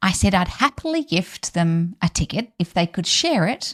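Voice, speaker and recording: A woman's somewhat breathy, fairly low voice, with a dry, close sound, no echo and a very clean recording over a silent background. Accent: Australian. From Australia. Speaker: podcast host, business coach. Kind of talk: solo podcast talk. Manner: upbeat, chatty.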